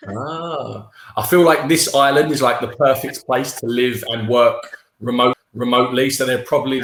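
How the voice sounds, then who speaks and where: A man with a London accent talks at a moderate pace, his medium-pitched voice following a fairly even intonation. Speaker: online English tutor. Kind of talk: casual chat.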